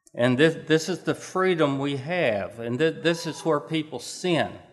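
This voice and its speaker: A man speaks at a fairly slow pace. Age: 60s. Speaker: preacher. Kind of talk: sermon. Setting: church. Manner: halting.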